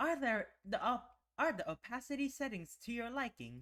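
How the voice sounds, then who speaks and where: A put-on character voice sounds robotic and fairly high in pitch. It moves at a moderate pace. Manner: stilted, stuttering.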